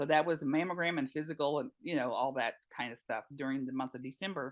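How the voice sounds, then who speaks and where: A woman's very deep, low voice with ordinary pitch variation and a North Carolina accent. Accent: Southern US (North Carolina). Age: 60s. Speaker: retired nurse and patient advocate. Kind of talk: interview testimony. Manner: hesitant, many fillers.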